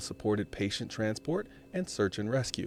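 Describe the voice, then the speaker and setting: Here a man is soft-spoken. His intonation is lively. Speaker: YouTube gaming channel host. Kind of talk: audiobook-style reading of a game's written article, delivered in an ASMR style. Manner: soft, ASMR-style delivery.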